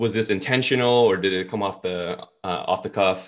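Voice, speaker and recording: A man with a plain, everyday voice speaks with an American accent at a fairly low pitch. His intonation stays fairly even at a moderate pace, in a very clean recording with a silent background. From New York (Brooklyn). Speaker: business school professor. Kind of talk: interview.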